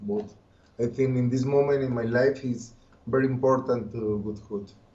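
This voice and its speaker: A man of medium pitch speaks with a Colombian accent, in a somewhat breathy voice with monotone, flat intonation. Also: moderate pace. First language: Spanish. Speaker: occultist and musician. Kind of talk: interview. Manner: halting.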